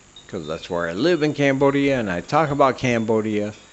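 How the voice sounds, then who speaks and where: Noticeable background noise sits behind the speaker. He is a man talking at a moderate pace. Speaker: comedy podcast host. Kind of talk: casual solo monologue. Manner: slurred speech.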